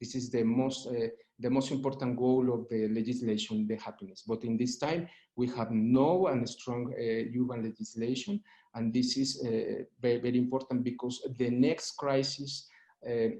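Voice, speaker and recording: A man's dark, mellow voice with a Spanish accent, at a moderate pace with fairly even intonation. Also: medium pitch for a man. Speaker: urban law expert. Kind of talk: panel presentation. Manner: halting, many fillers.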